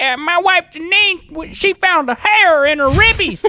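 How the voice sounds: At a moderate pace, a put-on character voice is performed at an extremely high pitch.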